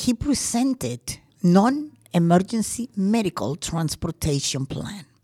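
Her voice is medium in pitch, somewhat breathy and dark and mellow in tone, swinging very widely in pitch, and the woman's sound is dry and close with no echo. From Colombia. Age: 70s. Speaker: crime victim. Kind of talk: testimony.

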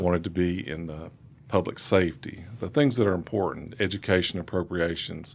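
Talking at a fairly quick pace, a man has a very deep, low pitch with ordinary pitch variation. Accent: Southern US. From East Tennessee, US South. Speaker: state legislator. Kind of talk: radio interview. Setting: studio.

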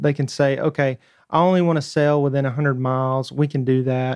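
In a dry, close sound with no echo, a man with a Southern US accent speaks at a fairly high pitch and moderate pace, his intonation monotone and flat. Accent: Southern US twang. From North Georgia. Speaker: tech startup founder. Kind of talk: radio interview. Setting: studio.

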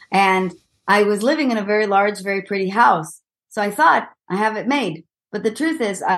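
The speaker has an Israeli accent. The pace is fairly quick. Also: woman. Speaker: executive coach. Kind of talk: interview.

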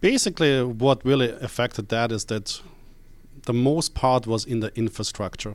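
Recorded very cleanly with a silent background, a man speaks at medium pitch with a slight Austrian accent. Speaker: company CEO and founder. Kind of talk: casual radio interview. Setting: radio show.

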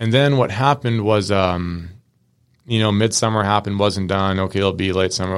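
Recorded very cleanly against a silent background, a man with an American accent speaks at a fairly quick pace in a very deep, low pitch with fairly even intonation. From Washington State, US West Coast. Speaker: mechanic shop co-owner. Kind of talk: casual interview. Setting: studio.

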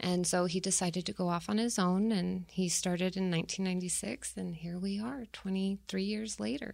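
At a fairly slow pace, a woman with an American accent speaks with hardly any pauses and ordinary pitch variation. She has an unremarkable speaking voice. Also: medium pitch for a woman. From Tucson, Arizona. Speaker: production manager at family business. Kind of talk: interview. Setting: studio.

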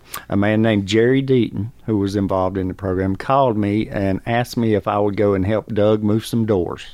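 Against a quiet background, a voice with a Southern US accent holds a very even loudness. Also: man. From North Carolina. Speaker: program graduate, former addict. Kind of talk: testimony.

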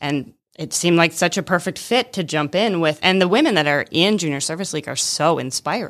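Spoken at a moderate pace in an unremarkable speaking voice, with an American accent. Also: woman. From Michigan. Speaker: volunteer organization chair and vineyard owner. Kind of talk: radio interview. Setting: radio studio.

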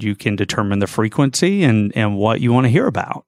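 This man speaks with an American accent and an unremarkable speaking voice. His pitch sits fairly low and varies in an ordinary way. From US South, north Georgia (Gainesville). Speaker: financial services executive. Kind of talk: radio interview. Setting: studio.

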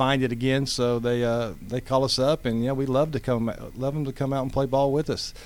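At a fairly quick pace, a man speaks at medium pitch with monotone, flat intonation. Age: 50s. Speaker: amateur baseball league president. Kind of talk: casual interview.

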